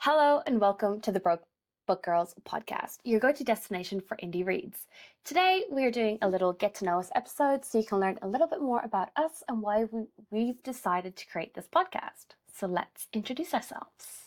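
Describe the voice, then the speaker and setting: A woman with an Irish accent talks fairly quickly, her fairly high pitch swinging very widely. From Ireland. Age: 20s. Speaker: podcast co-host. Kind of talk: casual chat.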